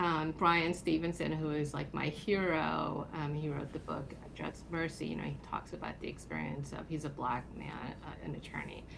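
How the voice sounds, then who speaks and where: A woman talking with hardly any pauses, audible room echo around her. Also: moderate pace. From South Korea. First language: Korean. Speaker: attorney. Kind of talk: podcast interview. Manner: hesitant, many fillers.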